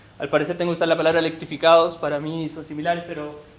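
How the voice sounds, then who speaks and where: A man with a high pitch speaks at a very fast pace. Audible room echo and noticeable background noise fill the recording. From Chile. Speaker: researcher presenting at a workshop. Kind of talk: presentation. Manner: halting with self-corrections.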